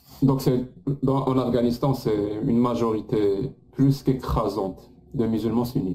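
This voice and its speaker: Against noticeable background noise, a man speaks at a medium pitch and a moderate pace. His intonation is fairly even and his loudness very even. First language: French. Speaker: live show host and interpreter. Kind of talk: live interview with interpretation. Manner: halting.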